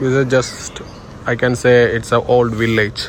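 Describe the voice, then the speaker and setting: Noticeable background noise sits behind a man speaking fairly slowly at a medium pitch. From India. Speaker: travel vlogger. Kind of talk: casual chat.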